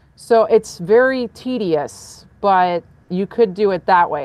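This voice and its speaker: A woman speaks loudly, with ordinary pitch variation. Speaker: rideshare driver and karaoke video creator. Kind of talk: casual chat.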